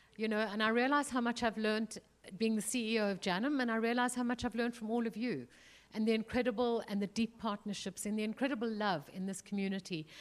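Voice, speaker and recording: At a fairly quick pace, a woman talks with a South African accent and ordinary pitch variation. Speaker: museum chief executive, panelist. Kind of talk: panel discussion. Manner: halting, many fillers.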